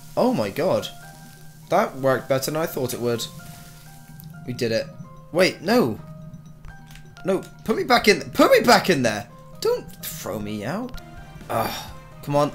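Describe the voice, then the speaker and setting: Over music in the background, a man with a fairly high pitch speaks at a fairly slow pace, his pitch swinging very widely. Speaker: gamer. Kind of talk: gameplay commentary.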